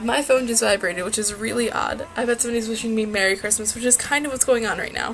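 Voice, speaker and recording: A woman's fairly high voice, fairly even in intonation, with hardly any pauses and noticeable background noise. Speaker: knitter. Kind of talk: casual talk to camera.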